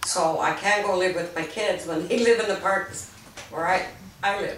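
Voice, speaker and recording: A woman talks at a moderate pace with medium pitch and fairly even intonation. Noticeable background noise and audible room echo fill the recording. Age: 60s. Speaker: mobile home park resident. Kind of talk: interview.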